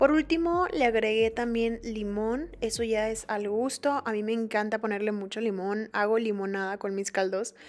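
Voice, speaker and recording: At a moderate pace and with hardly any pauses, a woman talks in a fairly high pitch with ordinary pitch variation. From Mexico. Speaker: fitness vlogger. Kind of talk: cooking vlog narration. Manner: casual, chatty. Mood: relaxed, friendly.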